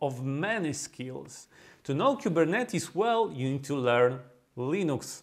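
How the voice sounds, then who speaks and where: Speaking at a fairly slow pace with a strong Polish accent, a man lets his pitch swing very widely. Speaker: DevOps consultant and YouTuber. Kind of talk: tutorial.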